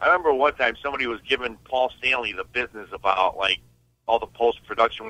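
Here a man talks at a very fast pace. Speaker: caller. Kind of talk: call-in question on a radio show. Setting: phone call.

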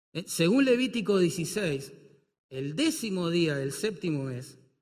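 In a room with audible echo, a man speaks very slowly at a fairly high pitch. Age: 50s. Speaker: pastor. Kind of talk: sermon.

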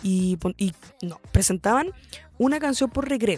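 A woman speaks with a Chilean accent at a fairly slow pace. Her tone is dark and mellow. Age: 20s. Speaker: podcast host. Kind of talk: casual monologue. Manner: hesitant, many fillers.

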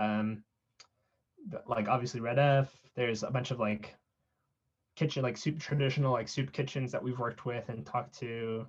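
A man with an American accent speaks at a moderate pace, leaving long, frequent pauses. His voice is somewhat breathy. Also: medium pitch for a man, fairly even intonation. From South San Francisco, California. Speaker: nonprofit cofounder. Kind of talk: interview. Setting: podcast.

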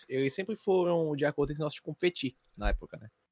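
A man talks at a fairly quick pace with lively intonation, in a normal speaking voice. The sound is dry and close, with no echo. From Fortaleza, Ceará, Brazil. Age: 20s. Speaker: esports tournament commentator. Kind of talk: casual chat.

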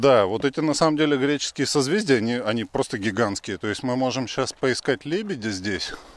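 With an unremarkable speaking voice at a medium pitch, a man talks at a fairly quick pace with lively intonation and hardly any pauses, in a dry, close sound with no echo. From Russia. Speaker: podcast host. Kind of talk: casual chat. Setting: outdoors.

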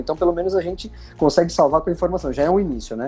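The man's dark, mellow tone is somewhat breathy. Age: 40s. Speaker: company executive, fleet fines specialist. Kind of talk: podcast interview.

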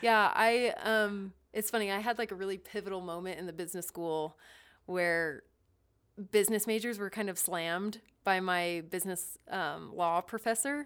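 With an unremarkable speaking voice at medium pitch, a woman talks at a moderate pace and ordinary pitch variation. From Ohio, US Midwest. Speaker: business analyst and guest. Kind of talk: casual interview chat.

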